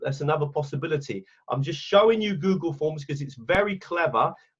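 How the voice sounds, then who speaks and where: A man speaks in an English accent at a fairly high pitch and a fairly quick pace. His delivery is somewhat breathy, with lively intonation. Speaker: teacher trainer. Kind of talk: webinar training. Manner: casual.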